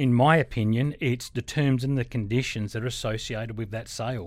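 A man talks at a fairly quick pace with an Australian accent. The recording is very clean, with a silent background. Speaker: auctioneer. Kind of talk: interview. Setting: studio.

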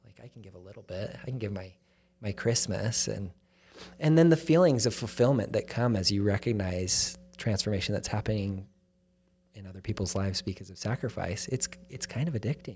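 Somewhat breathy and fairly low-pitched, a man talks at a fairly quick pace in a very clean recording with a silent background. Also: lively intonation. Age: 30s. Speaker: charity chief executive. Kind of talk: casual chat.

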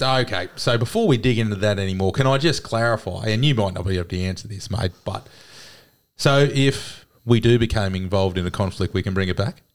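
A man at a fairly quick pace, fairly low in pitch with ordinary pitch variation, on a very clean recording with a silent background. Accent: Australian. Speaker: sports podcast co-host. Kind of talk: casual chat.

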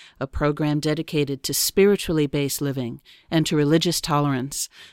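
A fairly quick voice with an American accent on a very clean recording with a silent background. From New York. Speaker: radio host. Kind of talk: radio interview.

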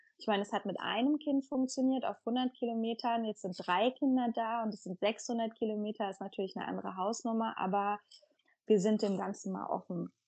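Talking at a fairly quick pace, a woman uses a plain, everyday voice pitched fairly high, with ordinary pitch variation. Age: 30s. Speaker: mother of three, community member. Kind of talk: interview.

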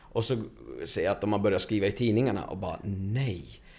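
A dark, mellow, somewhat breathy tone with ordinary pitch variation. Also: man. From Stockholm suburbs (Tensta). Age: 30s. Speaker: construction coordinator. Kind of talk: casual interview.

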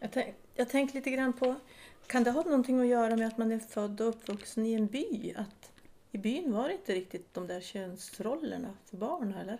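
This woman has a dark, mellow tone, a fairly high pitch, ordinary pitch variation and a moderate pace. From Sweden, inland Västerbotten (Vilhelmina). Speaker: podcast host, local politician. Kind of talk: casual interview chat.

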